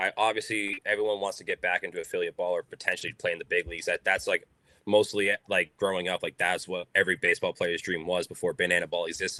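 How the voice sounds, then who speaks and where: This man, speaking with an American accent, goes at a very fast pace. The audio is dry and close, without any echo. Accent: strong Boston accent, comes out at times. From Boston, US. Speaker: baseball player. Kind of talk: podcast interview.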